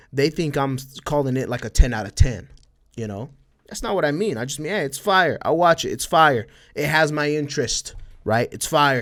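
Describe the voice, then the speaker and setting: A man with an American accent, fairly high-pitched, with lively intonation, a moderate pace and big swings in loudness. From Texas, El Paso (border with Mexico). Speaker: podcast host and streamer. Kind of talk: casual chat. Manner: casual, filler-heavy.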